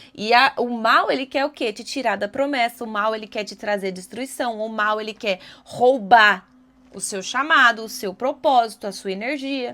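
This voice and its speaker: Animated in tone, a woman with a fairly high pitch shows ordinary pitch variation and big swings in loudness. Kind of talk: devotional video talk. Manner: fast.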